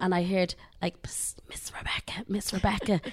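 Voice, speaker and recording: A woman with an Irish accent talks fairly quickly at a medium pitch, her intonation monotone and flat. The recording is very clean, with a silent background. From Ireland. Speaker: cruise line sales executive. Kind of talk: interview. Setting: studio.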